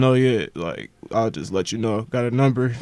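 This man talks at a medium pitch. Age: 20s. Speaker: rapper. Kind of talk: casual chat.

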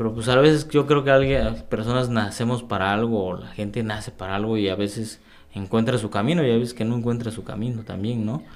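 At a fairly quick pace, a man speaks with a medium pitch. The variation in his pitch is ordinary. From Oaxaca, Mexico. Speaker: sociologist and cycling activist. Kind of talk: interview conversation. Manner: halting, many fillers.

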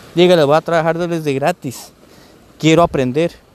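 Noticeable background noise behind a man speaking at a high pitch. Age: 30s. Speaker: podcaster. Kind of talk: casual monologue. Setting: outdoors on a beach. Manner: halting.

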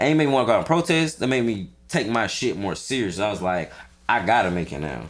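A man at medium pitch with vocal fry, a fairly quick pace and very wide pitch swings. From Atlanta, US South. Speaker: podcast host. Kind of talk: casual chat. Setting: studio. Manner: animated, casual.

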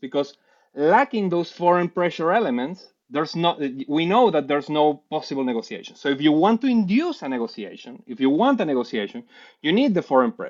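Lively intonation marks a man speaking at a moderate pace with a Spanish accent. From Venezuela (Caracas, Puerto Ordaz). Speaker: PhD student in public policy. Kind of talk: interview on policy. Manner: halting, many repeated words and fillers.

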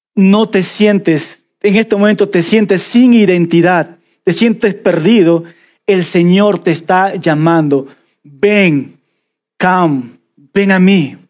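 A man with a Peruvian Amazon accent speaks at a very slow pace in a high pitch with ordinary pitch variation. His loudness stays very even in a very clean recording with a silent background. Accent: Peruvian jungle (selva) accent, noticeable. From Peruvian Amazon (selva). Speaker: pastor. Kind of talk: sermon. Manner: animated.

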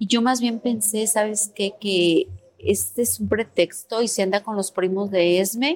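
Speaking at a fairly slow pace, a woman uses a normal speaking voice with a medium pitch and ordinary pitch variation. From Puebla, Mexico. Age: 40s. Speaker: activist mother of a disappeared son. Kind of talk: testimony.

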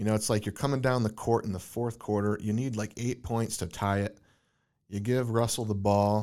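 A man speaks at a moderate pace in a fairly low pitch, with a dark, mellow tone. His intonation is monotone and flat, and the recording is very clean with a silent background. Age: 30s. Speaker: podcast host. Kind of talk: casual interview. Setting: guest's office.

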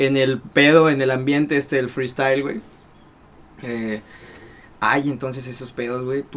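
With a Mexican accent, a man speaks at a fairly slow pace in monotone, flat intonation, leaving long, frequent pauses. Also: medium pitch for a man. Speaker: podcast host. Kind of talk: casual chat. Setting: studio.

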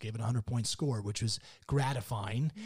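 A somewhat breathy man speaks at a moderate pace with an American accent. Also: very clean recording, silent background. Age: 50s. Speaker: winemaker and author. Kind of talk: casual interview. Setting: winery tasting room. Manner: animated.

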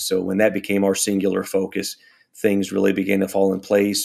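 Monotone and flat, a man with an American accent and a fairly low pitch talks at a fairly quick pace. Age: 40s. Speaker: pastor. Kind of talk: interview conversation.

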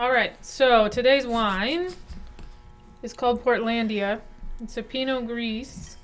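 Music plays behind a woman speaking very slowly at a high pitch. She leaves long, frequent pauses. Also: big swings in loudness. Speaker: podcast co-host. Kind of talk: casual chat over wine.

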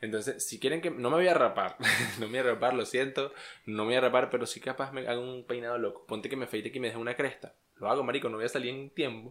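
The delivery moves at a very fast pace. Its intonation stays fairly even. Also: man, medium pitch for a man. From Venezuela, Los Llanos. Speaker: podcast co-host. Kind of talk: casual chat.

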